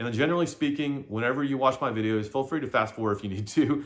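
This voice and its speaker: Lively in intonation, this man rattles along at a very fast pace. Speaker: side-hustle vlogger. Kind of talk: casual vlog monologue. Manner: halting.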